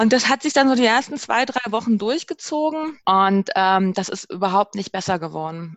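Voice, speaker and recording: A woman speaks at a moderate pace in a fairly high voice, her pitch swinging very widely with hardly any pauses. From Berlin, Germany. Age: 30s. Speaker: interview guest sharing sabbatical experience. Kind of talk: casual interview. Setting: remote call.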